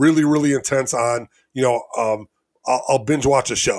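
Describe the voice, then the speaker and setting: The recording is very clean, with a silent background. A man speaks with an American accent and ordinary pitch variation. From Elgin, Illinois. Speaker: self-described geek collector. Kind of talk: casual interview. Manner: halting, repeats words.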